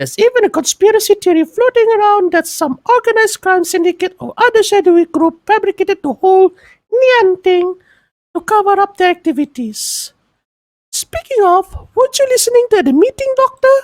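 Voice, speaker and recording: A put-on character voice, squeaky and extremely high-pitched. It moves at a fairly quick pace. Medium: read story. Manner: polite, informative.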